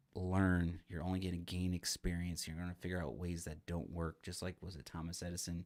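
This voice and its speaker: His voice is very deep and low, with a monotone, flat intonation. The man speaks at a moderate pace. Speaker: real estate investor and association director. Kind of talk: unscripted self-help talk to camera. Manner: halting, stumbling; casual, filler-heavy.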